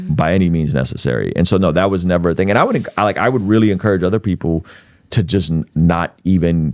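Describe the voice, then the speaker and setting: Very fast and very even in loudness, a man speaks in a very deep, low pitch with ordinary pitch variation. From Russian-speaking immigrant family, grew up in the US. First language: Russian. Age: 40s. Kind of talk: podcast interview.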